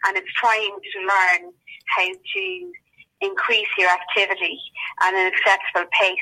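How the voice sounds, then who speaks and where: Speaking with an Irish accent at medium pitch, a woman goes at a fairly slow pace in a monotone, flat intonation with long, frequent pauses. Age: 50s. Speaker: COVID patient. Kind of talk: testimony.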